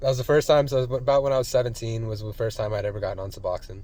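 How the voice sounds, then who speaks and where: A man with an American accent talks at a medium pitch, sounding somewhat breathy. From Colorado, US. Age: 20s. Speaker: vlogger recovering from addiction. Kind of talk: personal vlog testimony. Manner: casual, hesitant with many fillers.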